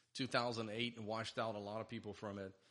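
A man's medium-pitched, flat monotone with a Portuguese accent, at a fairly quick pace. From Brazil (Sao Paulo). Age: 40s. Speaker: mortgage lender, business owner. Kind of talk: casual interview.

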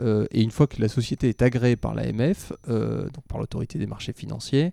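The man's voice comes through dry and close with no echo, at a moderate pace. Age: 30s. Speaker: real estate investment director. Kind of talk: interview.

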